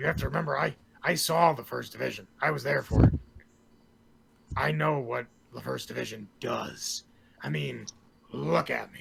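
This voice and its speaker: In a raspy, put-on character voice, a man speaks at a moderate pace and medium pitch, leaving long, frequent pauses. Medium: actual play. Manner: gruff, blunt.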